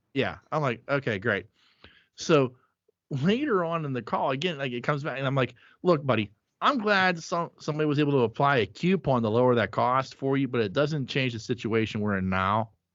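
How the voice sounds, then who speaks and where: Lively intonation in a Pittsburgh accent. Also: man, medium pitch for a man. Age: 40s. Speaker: podcast host. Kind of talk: casual chat.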